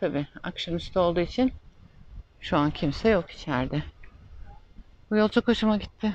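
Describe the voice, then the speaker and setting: The sound is dry with no echo. A woman talks at a moderate pace and fairly low pitch, with lively intonation. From Turkey, Istanbul. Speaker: travel vlogger. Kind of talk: casual travel vlog narration. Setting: outdoors, windy island streets and horse-free taxi. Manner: chatty, laughs often. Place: street. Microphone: phone near.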